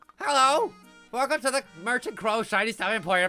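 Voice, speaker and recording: A man uses a strained, put-on character voice at an extremely high pitch, talking fairly quickly. Faint music plays in the background. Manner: greeting customers, theatrical.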